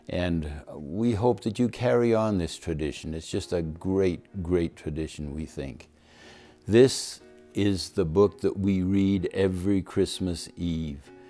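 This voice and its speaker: A man with a very deep, low pitch talks at a fairly slow pace with ordinary pitch variation. Music plays in the background. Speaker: grandfather. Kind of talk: casual talk to camera.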